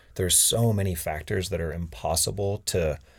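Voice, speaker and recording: On a very clean recording with a silent background, a man with an American accent speaks somewhat breathily with ordinary pitch variation. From Maine, US. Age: 30s. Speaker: professional mountain biker. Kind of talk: casual chat. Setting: studio.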